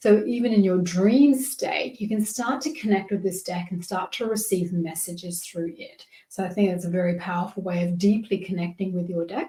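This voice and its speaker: A woman with an Australian accent speaks at a moderate pace, with hardly any pauses. Her pitch is medium, with ordinary variation. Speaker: tarot and oracle card reader. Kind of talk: tutorial. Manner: casual, warm.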